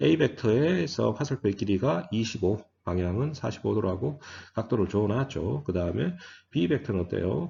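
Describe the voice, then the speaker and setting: Somewhat breathy and fairly low, a man's voice swings very widely in pitch at a moderate pace. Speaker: physics lecturer. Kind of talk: lecture.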